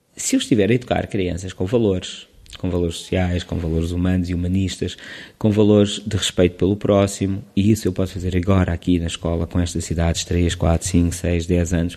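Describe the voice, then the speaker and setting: In a Lisbon accent, a man speaks at a very deep, low pitch with a dark, mellow tone and flat, monotone intonation. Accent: European Portuguese, Lisbon. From Portugal, Lisbon. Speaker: preschool teacher. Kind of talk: casual interview. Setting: school. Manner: halting.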